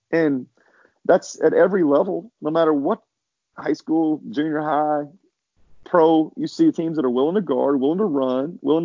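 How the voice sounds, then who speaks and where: A man with an unremarkable speaking voice and fairly high pitch. He talks at a moderate pace with ordinary pitch variation. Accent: American. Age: 50s. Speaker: basketball coach. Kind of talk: interview.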